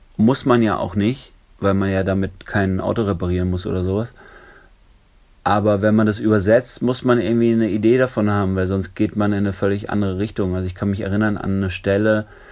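With a fairly low pitch, a man speaks in fairly even intonation. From southern Germany (Lörrach, Baden). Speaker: musician. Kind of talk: interview. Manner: hesitant, many filler sounds.

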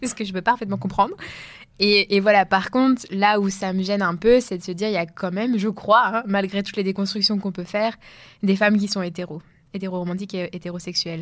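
Speaking at a fairly quick pace, a woman with an unremarkable speaking voice keeps a medium pitch and fairly even intonation. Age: 20s. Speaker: podcast co-host. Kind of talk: casual discussion.

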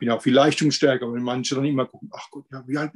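A man's voice, dry and close-miked with no echo. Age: 50s. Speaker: weight-loss coaching client. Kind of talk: interview testimony. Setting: video call. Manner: halting.

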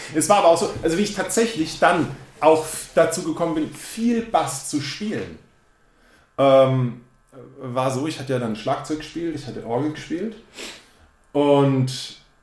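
Audible room echo surrounds the man, who talks at a fairly slow pace. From Baden, near Karlsruhe, Germany. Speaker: drummer. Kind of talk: casual interview chat.

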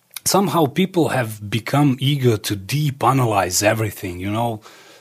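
Somewhat breathy, a man with a Serbo-Croatian accent speaks at a medium pitch with lively intonation. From Croatia, Dalmatia, then Serbia. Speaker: musician and filmmaker. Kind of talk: interview.

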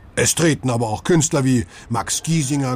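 A man speaks with a warm tone at a moderate pace. Background noise is noticeable. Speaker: audio tour guide. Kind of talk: scripted audio-guide narration addressing listeners as 'Sie'. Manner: formal, friendly, warm and inviting; even, measured pace, promotional tone.

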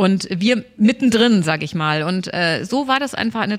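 A woman with a plain, everyday voice speaks at a moderate pace, her fairly high pitch showing ordinary variation. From Germany, Stuttgart (Swabia). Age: 50s. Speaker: pastor. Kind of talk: casual interview chat.

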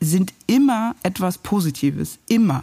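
Dark and mellow in tone, a woman's medium-pitched voice moves at a very slow pace. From East Berlin (Pankow), Germany. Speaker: journalist and TV news presenter. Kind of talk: casual interview over a meal. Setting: at a dining table, eating. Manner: hesitant, many fillers.

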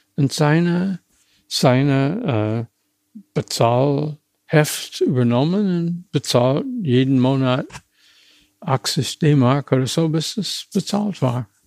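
A man's fairly high voice in an American accent, very slow and lively in intonation, with a dry, close sound and no echo. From USA, small town. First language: English (speaking German). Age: 80s+. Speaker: retired car designer. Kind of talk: interview. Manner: halting, with many hesitations.

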